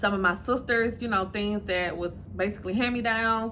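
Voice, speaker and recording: Heard with audible room echo, a woman speaks at a moderate pace in a bright, sharp, medium-pitched voice with vocal fry. Her pitch varies in an ordinary way. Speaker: lifestyle and dating vlogger. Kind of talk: casual vlog monologue.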